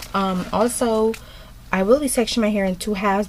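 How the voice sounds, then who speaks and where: This woman moves at a fairly quick pace with ordinary pitch variation, noticeable background noise present behind her. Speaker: beauty vlogger. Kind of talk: tutorial. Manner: mumbling; hesitant, many ums.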